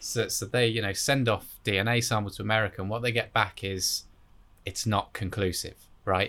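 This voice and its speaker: A man speaks with an English accent at a fairly low pitch, in a bright, sharp tone. His intonation is monotone and flat, and the recording is very clean with a silent background. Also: moderate pace. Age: 20s. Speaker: podcast host. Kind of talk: casual chat.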